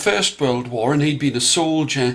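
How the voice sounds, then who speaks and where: At a fairly quick pace, an unremarkable speaking voice keeps going. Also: man. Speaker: storyteller. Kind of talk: storytelling for children.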